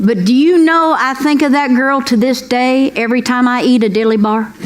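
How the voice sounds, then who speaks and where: Moderate pace, ordinary pitch variation and very even loudness, against noticeable background noise. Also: woman, high pitch for a woman. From Kentucky. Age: 60s. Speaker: comedian. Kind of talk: stand-up. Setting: stage with audience. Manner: animated.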